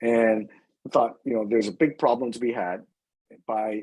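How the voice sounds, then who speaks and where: A man speaks at a fairly quick pace with an American accent. The recording is very clean, with a silent background. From US West Coast. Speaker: company CEO. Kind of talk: interview Q&A. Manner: many fillers and repetitions.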